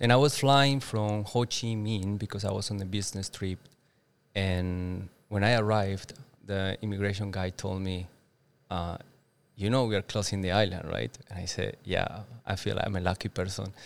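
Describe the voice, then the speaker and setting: In a very clean recording with a silent background, a man with a Spanish accent speaks at a moderate pace in a fairly low pitch with fairly even intonation. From Colombia, Boyacá (Duitama). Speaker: entrepreneur. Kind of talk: interview. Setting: outdoors with birds, Bali. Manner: hesitant, many fillers.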